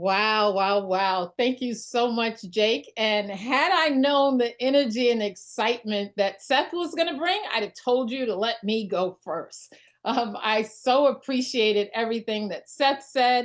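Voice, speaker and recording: With a New York accent, a woman talks at a fairly slow pace with hardly any pauses. Her pitch is fairly high, with ordinary variation. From New York (Brooklyn). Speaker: network marketing leader. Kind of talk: motivational talk on a group call. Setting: group call. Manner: extemporaneous.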